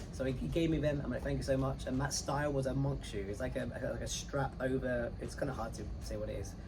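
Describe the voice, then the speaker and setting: Amid noticeable background noise and audible room echo, the speech runs at a very fast pace. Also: man. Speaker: cruise director. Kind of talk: casual interview. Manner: halting with repetitions.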